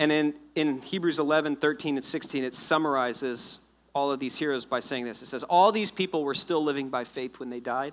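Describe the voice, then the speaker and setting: With an American accent, a man in a plain, everyday voice talks at a fairly quick pace and fairly high pitch, with ordinary pitch variation. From US South (South Florida). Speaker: pastor. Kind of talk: sermon. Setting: church.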